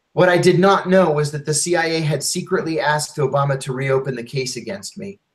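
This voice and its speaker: Pitch varies in an ordinary way at a moderate pace. The voice has a somewhat breathy quality. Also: man. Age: 50s. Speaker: former intelligence officer and author. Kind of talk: interview testimony.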